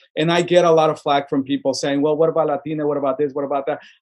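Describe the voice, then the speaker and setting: A man talks at a very fast pace with a Spanish accent. His pitch is fairly high. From Sonora, Mexico and Tucson, Arizona. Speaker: filmmaker and arts nonprofit director. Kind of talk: casual podcast interview. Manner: animated, repetitive restarts.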